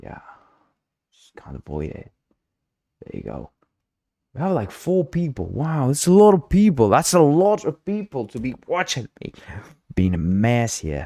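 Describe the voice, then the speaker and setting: At a fairly slow pace with long, frequent pauses, a man with a dark, mellow tone and medium pitch makes very wide pitch swings and big swings in loudness, in a dry, close sound with no echo. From South America. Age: 30s. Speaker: game engine developer and streamer. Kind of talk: livestream coding tutorial.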